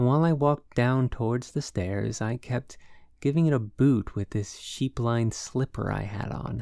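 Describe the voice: The pitch varies in an ordinary way. What we hear is plain reading aloud.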